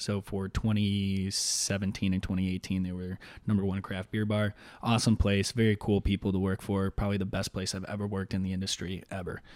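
This American-accented voice moves at a moderate pace with monotone, flat intonation, in a very clean recording with a silent background. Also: man, fairly low pitch for a man. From Chicago South Side. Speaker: beer content creator. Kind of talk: casual chat.

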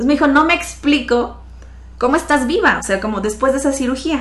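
A woman talks at a fairly quick pace. Room echo is audible, and there is noticeable background noise. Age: 30s. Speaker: financial advisor, accident survivor. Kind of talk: interview testimony.

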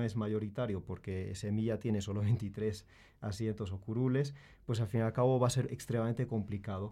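A man with a dark, mellow tone and medium pitch talks at a moderate pace with fairly even intonation over a quiet background. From Spain. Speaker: university professor. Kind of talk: panel discussion. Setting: studio.

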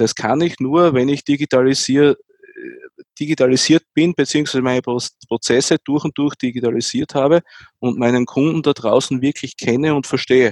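A man with a normal speaking voice, fairly high in pitch, at a moderate pace with fairly even intonation, in a dry, close sound with no echo. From Austria, near Graz. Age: 40s. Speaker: tech executive. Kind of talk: interview.

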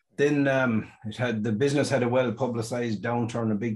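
Monotone and flat, a man speaks in a western Irish accent at a medium pitch and a fairly quick pace. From Ireland, County Mayo. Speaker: sheep dairy farmer and business owner. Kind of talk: interview.

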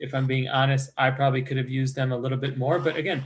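A man with an American accent speaks at a medium pitch. His voice is somewhat breathy. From Chicago northwest suburbs, US Midwest. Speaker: pharmaceutical sales rep, MBA alumnus. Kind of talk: interview.

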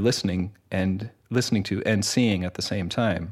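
A man speaks in a fairly low pitch at a moderate pace, monotone and flat. The recording is very clean with a silent background. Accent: Canadian. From Canada. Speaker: composer and music teacher. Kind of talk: interview. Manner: hesitant, many fillers.

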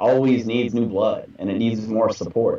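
A man with an American accent and an ordinary speaking voice, medium in pitch, at a moderate pace with fairly even intonation. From North Texas. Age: 30s. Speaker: metal band vocalist. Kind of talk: casual interview chat.

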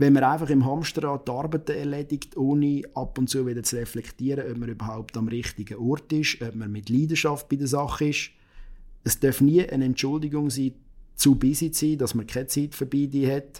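In a dark, mellow tone, a man with a fairly high pitch speaks at a moderate pace with fairly even intonation. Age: 30s. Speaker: lawyer. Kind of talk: interview.

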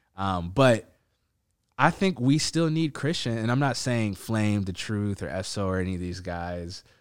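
On a very clean recording with a silent background, a man with an American accent and a plain, everyday voice speaks fairly slowly at a fairly low pitch with lively intonation. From Ethiopian community, Minnesota. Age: 30s. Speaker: podcast host. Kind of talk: casual chat.

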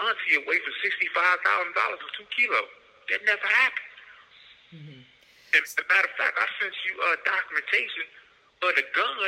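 A man speaks at a moderate pace with big swings in loudness and long, frequent pauses over noticeable background noise. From Florida. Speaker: prisoner. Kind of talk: phone interview.

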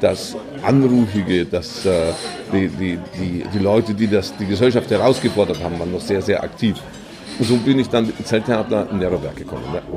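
A man with a fairly low pitch speaks at a fairly quick pace, with ordinary pitch variation. Noticeable background noise and audible room echo are present. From Bavaria, Kelheim district. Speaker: entrepreneur. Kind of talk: interview. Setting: theatre canteen.

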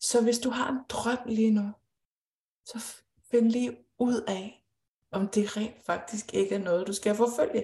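Somewhat breathy and pitched fairly high, a woman speaks very slowly in a dark, mellow tone with fairly even intonation and long, frequent pauses. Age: 30s. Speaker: intuitive coach. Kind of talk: live-streamed conversation.

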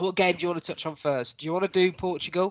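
Fairly quick speech from a man with an English accent, dry and close with no echo. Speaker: podcast host. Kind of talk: casual chat. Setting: podcast recording.

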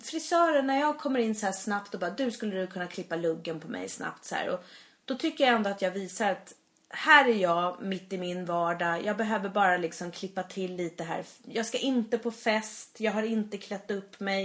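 A woman with an ordinary speaking voice talks at medium pitch. Her intonation is lively and her pace moderate. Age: 40s. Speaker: podcast co-host. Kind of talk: casual chat.

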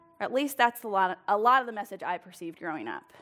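A woman speaks at a moderate pace in a plain, everyday voice, with lively intonation. The recording is very clean, with a silent background. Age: 30s. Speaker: lay preacher, small group leader. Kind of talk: sermon. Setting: church with congregation. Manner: casual, laughing.

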